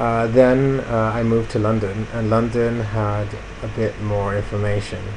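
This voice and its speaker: A man speaks at a moderate pace in a medium pitch with monotone, flat intonation, with audible room echo and noticeable background noise. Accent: American. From Italy. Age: 20s. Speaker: vlogger. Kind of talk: personal video blog. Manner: calm; hesitant, many fillers.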